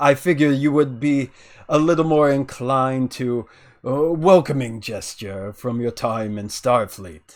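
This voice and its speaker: A man puts on a character voice, medium in pitch and moderate in speed. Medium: actual play. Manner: warm, confident, amused.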